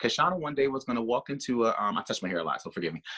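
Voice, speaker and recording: The voice is loud, recorded dry and close with no echo. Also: man. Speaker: stylist. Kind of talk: workshop talk.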